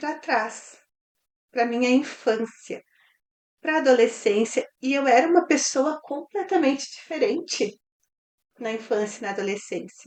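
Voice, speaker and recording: Pausing long and often, a woman speaks at a high pitch with lively intonation. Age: 40s. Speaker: mentor. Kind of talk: testimony.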